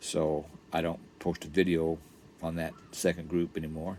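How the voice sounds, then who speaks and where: Very deep and low, a man's voice moves at a fairly slow pace with monotone, flat intonation. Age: 60s. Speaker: vlogger. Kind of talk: casual devotional vlog talk. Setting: RV park. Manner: conversational, repetitive.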